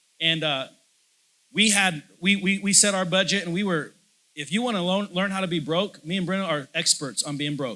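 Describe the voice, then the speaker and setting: Loud and passionate, a man with a high pitch and a bright, sharp tone speaks at a moderate pace on a very clean recording with a silent background. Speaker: pastor. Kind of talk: sermon. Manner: loud, passionate; hesitant fillers and repetitions.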